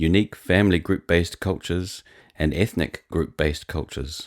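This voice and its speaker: A man with an American accent speaks with a very deep, low pitch and vocal fry at a moderate pace. The recording is very clean, with a silent background. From New Zealand. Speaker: blogger and psalm songwriter. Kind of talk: reading aloud.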